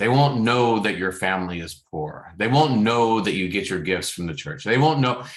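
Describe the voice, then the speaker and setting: The intonation is lively, and room echo can be heard. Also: man. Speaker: fitness trainer and coach. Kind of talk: personal monologue. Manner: fast; halting, many repetitions.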